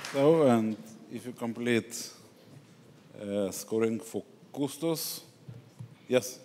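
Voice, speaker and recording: Very slowly and with lively intonation, a man speaks with a non-native accent. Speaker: event moderator. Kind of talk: event moderation.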